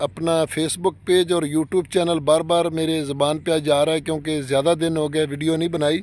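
Hardly pausing, a man speaks at a fairly slow pace with fairly high pitch and monotone, flat intonation in a dry sound with no echo. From Haroonabad, Bahawalnagar, Pakistani Punjab; Punjab, Pakistan. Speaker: real estate vlogger. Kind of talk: vlog sales pitch for farmland. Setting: outdoors in a field. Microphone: phone near.

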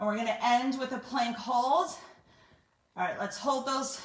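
A high-pitched woman's voice with audible room echo. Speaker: fitness instructor. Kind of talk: workout instruction and counting. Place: home room. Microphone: camera far.

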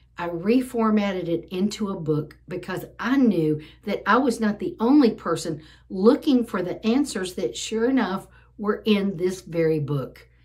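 A somewhat breathy woman's voice with lively intonation at a fairly slow pace, quiet background behind it. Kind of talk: casual vlog chat. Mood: earnest, emotional. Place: home room. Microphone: phone near.

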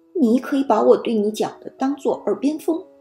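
A female-sounding put-on character voice comes through hoarse. Faint music plays in the background. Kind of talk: children's bedtime story animal voice. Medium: read story. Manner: serious, heavy, mournful.

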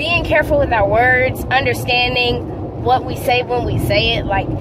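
A woman's fairly high voice at a fairly slow pace, with ordinary pitch variation and clear background noise.

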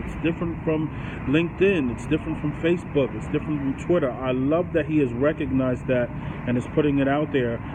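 Speaking at a fairly quick pace, a man with a fairly high pitch is heard against noticeable background noise. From grew up in a poor urban neighborhood. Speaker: vlogger on business and self-improvement; vlogger on business. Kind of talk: casual monologue to camera. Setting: recorded on a cell phone. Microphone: inexpensive cell phone mic; phone near.

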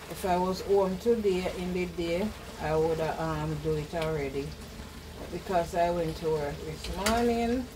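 A woman speaks at a fairly slow pace in a fairly low pitch, with ordinary pitch variation and noticeable background noise. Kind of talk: casual cooking tutorial chat. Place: kitchen. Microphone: camera far.

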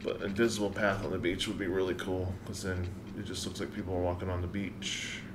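Over noticeable background noise, a man with an American accent talks very fast. His very deep, low voice stays monotone and flat. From US South, South Carolina. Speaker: gaming streamer. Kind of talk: live stream gameplay commentary. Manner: casual, thinking aloud. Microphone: studio mic.

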